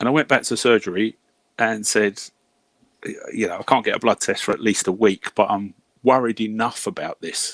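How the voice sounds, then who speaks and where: A man with a British accent, fairly low in pitch, at a moderate pace with fairly even intonation, dry and close with no echo, on a very clean recording with a silent background. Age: 60s. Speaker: hourly paid worker, former healthcare professional. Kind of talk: casual chat. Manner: halting.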